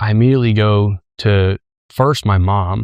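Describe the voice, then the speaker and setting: The voice moves at a fairly slow pace with fairly even intonation, in a dry, close sound with no echo. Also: man. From Colombia (Medellín), then Michigan from age 10. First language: Spanish. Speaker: company co-founder. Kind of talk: personal storytelling interview.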